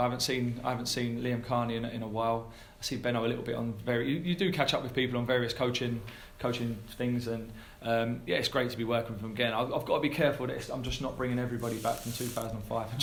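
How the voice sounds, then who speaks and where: Audible room echo surrounds a man with an English accent who speaks at a very fast pace and a medium pitch. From England. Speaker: football head coach. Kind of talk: press conference Q&A. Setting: press conference. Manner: halting with many repetitions.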